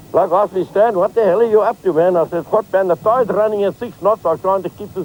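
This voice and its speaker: A man talks fairly quickly, his intonation lively, while noticeable background noise plays underneath. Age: 60s. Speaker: fisherman and boat designer. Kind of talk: casual chat.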